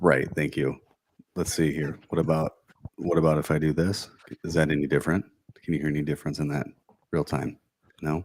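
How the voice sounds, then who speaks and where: A man with a raspy, very deep, low voice speaks at a fairly quick pace. His intonation is monotone and flat, broken by long, frequent pauses. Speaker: podcast co-host. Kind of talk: casual chat. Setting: live podcast recording.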